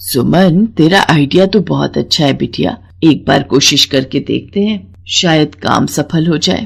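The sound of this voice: A woman's cartoonish character voice, low-pitched with vocal fry and a slightly husky edge, lively in intonation and fairly slow in pace.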